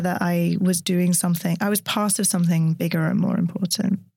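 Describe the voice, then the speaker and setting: Fairly quick and somewhat breathy, a woman speaks at a fairly low pitch with fairly even intonation. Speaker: neuroscientist and science storyteller. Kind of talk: interview conversation. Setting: studio.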